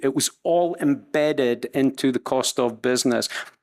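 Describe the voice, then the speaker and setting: A man with a Scottish accent speaks at a fairly slow pace on a very clean recording with a silent background. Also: dry, close sound with no echo. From Scotland. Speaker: supply chain executive. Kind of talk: panel discussion. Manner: halting.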